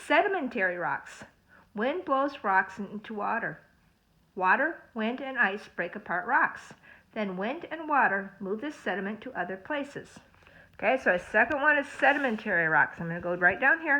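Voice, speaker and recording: Very wide pitch swings paired with big swings in loudness. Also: woman, fairly high pitch for a woman. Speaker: school librarian or teacher. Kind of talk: reading aloud lesson for children. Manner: fast. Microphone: phone near.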